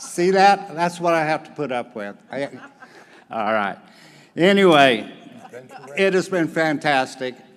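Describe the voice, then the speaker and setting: In a slight Southern US accent, the speaker talks at a fairly slow pace with lively intonation and long, frequent pauses. Noticeable background noise runs behind. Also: man, fairly high pitch for a man. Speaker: volunteer organization leader. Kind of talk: conference report. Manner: animated.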